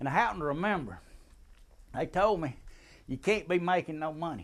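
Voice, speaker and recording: Speaking in a Southern US accent, a man keeps a moderate pace. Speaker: military veteran. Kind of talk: storytelling, tall tale. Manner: casual, humorous.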